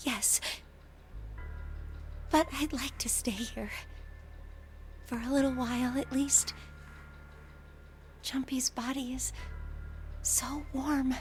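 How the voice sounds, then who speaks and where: A shaky, high female-sounding put-on character voice, fairly slow with long, frequent pauses, over clear background noise. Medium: game stream.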